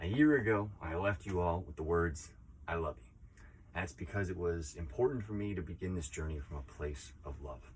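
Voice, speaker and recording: A man with a very deep, low pitch and vocal fry speaks at a moderate pace, with lively intonation and big swings in loudness. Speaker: teacher and project founder who kept a year of silence. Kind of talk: casual talk to camera, personal reflection. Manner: thoughtful, sincere, slightly emotional, with hesitations and filler words.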